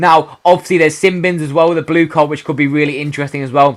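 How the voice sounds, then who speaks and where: A man talking very fast with a British accent, on a very clean recording with a silent background. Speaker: gaming youtuber. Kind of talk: casual video commentary.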